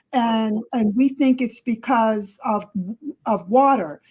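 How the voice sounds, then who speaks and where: Somewhat breathy and fairly high-pitched, a woman speaks at a fairly slow pace with fairly even intonation. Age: 70s. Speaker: relative giving health advice. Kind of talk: casual chat. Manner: emphatic.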